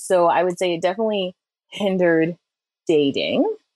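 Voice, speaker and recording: At a moderate pace, a woman speaks in a fairly low pitch over a quiet background. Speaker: guest sharing her dating story. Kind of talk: personal storytelling. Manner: animated.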